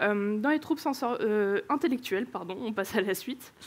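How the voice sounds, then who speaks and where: A woman's lively intonation at a moderate pace, in a very clean recording with a silent background. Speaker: conference speaker, engineering manager. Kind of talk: conference talk. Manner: hesitant, many filler sounds.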